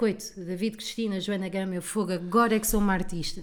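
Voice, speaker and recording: A woman speaks at a very fast pace. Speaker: comedian. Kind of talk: casual chat. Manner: animated.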